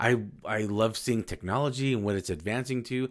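In a very clean recording with a silent background, a man with an unremarkable speaking voice and fairly low pitch talks at a moderate pace. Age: 40s. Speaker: podcast host. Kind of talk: motivational monologue. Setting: solo podcast recording. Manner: casual, conversational.

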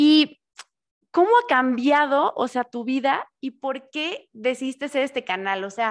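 The recording is very clean over a silent background. A woman talks with a high pitch and lively intonation. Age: 30s. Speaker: podcast host. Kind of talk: casual interview chat. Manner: animated.

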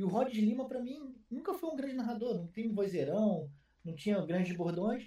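Delivered at a fairly quick pace, the speech carries lively intonation. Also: man. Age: 30s. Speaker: esports commentator and streamer. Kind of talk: casual chat.

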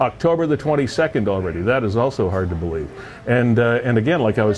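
Fairly quick speech from a man, with noticeable background noise behind it. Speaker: web show host. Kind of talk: casual chat.

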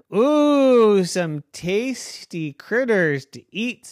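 A put-on character voice, fairly high in pitch and very slow in pace, in a very clean recording with a silent background. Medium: read story. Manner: gloating, greedy.

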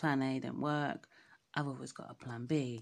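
In a very clean recording with a silent background, a woman with an English accent speaks fairly slowly in a very deep, low pitch, her intonation fairly even. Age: 30s. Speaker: podcaster. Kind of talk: casual monologue.

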